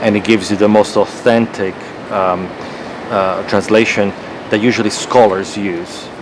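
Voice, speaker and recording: Over noticeable background noise, a man with a Croatian accent speaks at a fairly low pitch, with fairly even intonation and a moderate pace. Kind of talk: casual debate.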